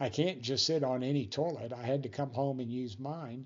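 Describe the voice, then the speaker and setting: In a plain, everyday voice, a man speaks fairly high, his pitch varying in an ordinary way. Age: 60s. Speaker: vlogger living with spinal muscular atrophy. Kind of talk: personal video monologue. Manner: casual, conversational with fillers.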